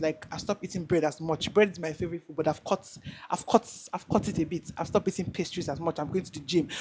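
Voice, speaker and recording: A woman at a very fast pace, with a fairly low pitch and fairly even intonation. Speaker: content creator. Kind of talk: casual chat. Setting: video call. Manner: halting.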